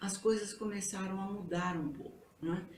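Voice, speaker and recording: A woman with a medium-pitched voice talks at a moderate pace amid audible room echo and noticeable background noise. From Brazil, São Paulo. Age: 70s. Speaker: retired history teacher. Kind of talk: interview.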